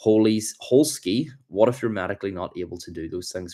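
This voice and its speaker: In an animated tone, a man with a Northern Irish accent speaks at a fairly quick pace with ordinary pitch variation. The recording is very clean against a silent background. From Ireland, between Dublin and Belfast. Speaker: livestreamer, self-improvement creator. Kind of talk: livestream chat, motivational talk. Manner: casual, animated.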